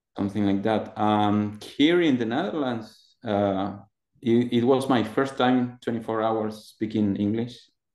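A man speaks in a Spanish accent at a fairly slow pace. His intonation is fairly even. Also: medium pitch for a man. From Argentina. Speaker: front-end developer. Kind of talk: casual interview about job search. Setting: video call interview. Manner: halting, hesitant with fillers.

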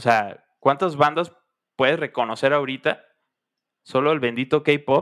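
The speech is fairly slow with fairly even intonation, long, frequent pauses and big swings in loudness. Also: man, fairly high pitch for a man. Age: 20s. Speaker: engineering student and band musician. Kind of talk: casual chat.

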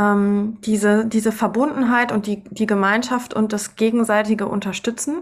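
Speaking very slowly, a woman has a fairly high pitch that varies in an ordinary way. The recording is very clean, with a silent background. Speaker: podcast host and choral singer. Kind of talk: casual chat.

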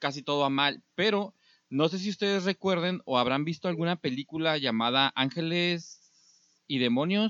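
Using a plain, everyday voice, the man talks fairly high with ordinary pitch variation. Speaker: podcast host. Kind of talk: casual chat.

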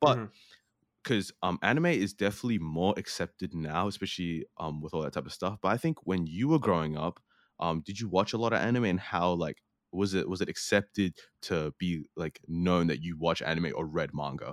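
A man with a very deep, low voice speaks at a fairly quick pace with ordinary pitch variation, the sound dry and close with no echo in a very clean recording against a silent background. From New Zealand and Australia. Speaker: podcaster. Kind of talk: casual chat. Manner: hesitant, many fillers.

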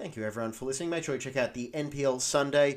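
On a very clean recording with a silent background, a man speaks with an Australian accent and ordinary pitch variation. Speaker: podcast host. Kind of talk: casual sports podcast chat.

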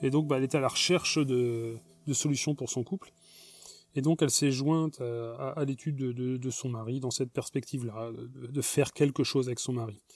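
With fairly even intonation, a man talks at a medium pitch and a moderate pace. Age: 40s. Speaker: former Jehovah's Witness giving testimony. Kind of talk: personal testimony monologue. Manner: hesitant, many repetitions and fillers.

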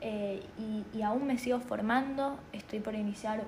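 A woman speaks at a fairly high pitch in a monotone, flat intonation, with audible room echo and noticeable background noise. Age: 20s. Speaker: spiritual podcaster. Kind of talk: personal monologue. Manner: halting, many fillers.

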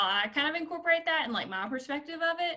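A woman speaks with a Southern US accent and a bright, sharp tone. Her pitch variation is ordinary. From southern Arkansas. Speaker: career and life coach. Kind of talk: casual interview.

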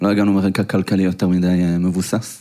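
His voice is very deep and low with a dark, mellow tone and monotone, flat intonation. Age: 30s. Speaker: tech entrepreneur. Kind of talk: live interview. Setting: stage with audience.

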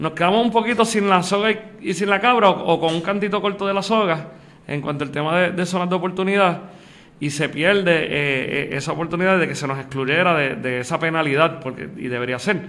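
Bright and sharp in tone, a man speaks at a high pitch with ordinary pitch variation. His pace is fairly quick. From Puerto Rico, Aguada. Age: young. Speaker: lawyer and accountant. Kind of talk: interview.

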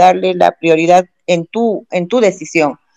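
In an ordinary speaking voice, a woman talks at a fairly slow pace with medium pitch and ordinary pitch variation, the sound dry and close with no echo. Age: 50s. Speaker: politician. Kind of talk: interview.

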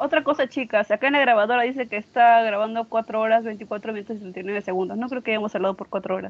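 A woman's normal speaking voice, fairly high in pitch, with ordinary pitch variation and a fairly quick pace. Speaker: architecture student. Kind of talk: casual chat.

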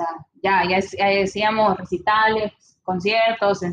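Speaking at a fairly slow pace, a woman has an ordinary speaking voice. Her pitch sits in the medium range. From El Salvador. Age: 20s. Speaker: engineering student and singer. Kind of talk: casual interview.

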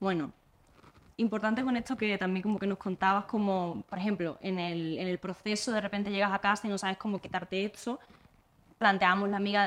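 A plain, everyday voice from a woman, medium in pitch, at a fairly quick pace with fairly even intonation. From Andalusia, Spain. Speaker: podcast host. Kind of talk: casual chat.

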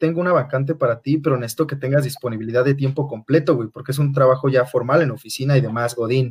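A man talks very fast in a fairly high pitch, his pitch varying in an ordinary way. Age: 30s. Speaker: former coworker. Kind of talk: casual chat. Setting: video call from home.

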